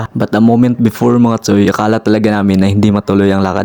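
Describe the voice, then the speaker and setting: Over noticeable background noise, a man speaks in a fairly low voice with monotone, flat intonation. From Visayas, Philippines (Mindanao, Dapitan area). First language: Cebuano (Bisaya) (speaking Tagalog). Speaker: vlogger. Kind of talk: vlog voice-over narration. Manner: halting, repeats words.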